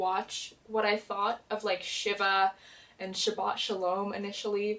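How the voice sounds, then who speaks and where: Soft-spoken, the voice proceeds at a fairly slow pace. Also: woman. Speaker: TV show reviewer / YouTuber. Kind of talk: casual vlog review. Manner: chatty, many fillers.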